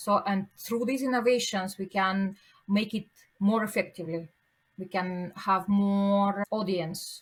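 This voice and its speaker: In a very clean recording with a silent background, a woman with a non-native accent speaks fairly slowly at a medium pitch, somewhat breathy and with fairly even intonation. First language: not English. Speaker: pharmaceutical executive. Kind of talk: podcast interview. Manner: halting.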